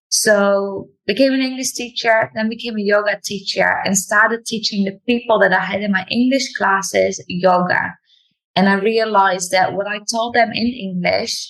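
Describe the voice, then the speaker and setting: A woman speaks at a medium pitch and a moderate pace. Her intonation stays fairly even, with hardly any pauses. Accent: non-native. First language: not English. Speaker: yoga teacher and English teacher. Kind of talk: interview.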